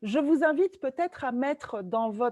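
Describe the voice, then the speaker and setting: Recorded with a dry, close sound and no echo, a woman speaks against a quiet background. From Italy and France. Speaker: trainer and facilitator, webinar co-host. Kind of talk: webinar presentation. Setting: video call webinar.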